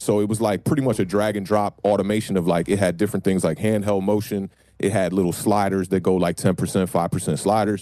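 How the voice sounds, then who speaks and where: A man's fairly low, dark, mellow voice at a fairly quick pace, with hardly any pauses, very even loudness and fairly even intonation. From Maryland, near Washington DC. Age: 30s. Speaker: rapper. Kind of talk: interview. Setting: home studio, remote call.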